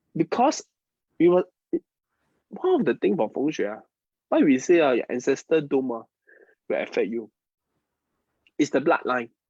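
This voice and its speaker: A man with a Mandarin accent leaves long, frequent pauses. The sound is dry and close, with no echo. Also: moderate pace. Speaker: feng shui and Chinese metaphysics teacher. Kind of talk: live-streamed class. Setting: online live stream. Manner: halting, repeats words.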